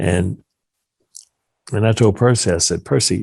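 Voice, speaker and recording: A man speaks fairly slowly in a dark, mellow tone with vocal fry. His intonation is lively, and the sound is dry and close with no echo. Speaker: lawyer. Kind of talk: interview. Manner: halting.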